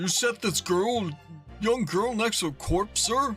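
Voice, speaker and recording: Clear music plays in the background as a put-on character voice speaks at a fairly slow pace. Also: man, high pitch for a man. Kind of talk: formal courtroom speech. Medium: game stream. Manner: formal, stately.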